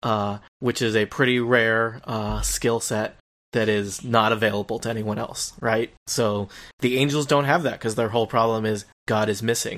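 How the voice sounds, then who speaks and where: Here a man speaks in a medium pitch at a moderate pace. His intonation stays fairly even. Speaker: guest, TV fan. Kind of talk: casual chat. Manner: rambling, hesitant.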